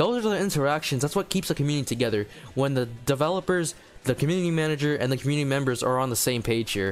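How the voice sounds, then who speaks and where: With music in the background, a man talks at a very fast pace, using lively intonation and very even loudness. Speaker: gaming youtuber. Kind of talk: casual commentary vlog. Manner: quiet; halting.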